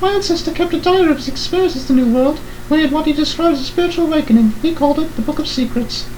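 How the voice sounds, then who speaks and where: A man's squeaky put-on character voice, extremely high-pitched and very fast, over clear background noise. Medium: solo performance. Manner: earnest, pleading.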